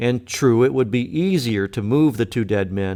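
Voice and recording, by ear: Natural-voiced reading aloud full of lively intonation.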